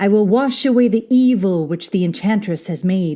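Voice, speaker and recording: A woman puts on a character voice. Her pitch sits in the medium range. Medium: read story. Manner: calm, gentle.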